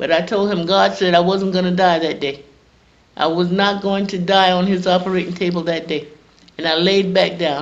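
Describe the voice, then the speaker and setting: A woman talks at a moderate pace in a South Carolina accent. Her intonation is monotone and flat. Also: medium pitch for a woman. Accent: Southern American (South Carolina). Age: 70s. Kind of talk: interview answer, personal testimony.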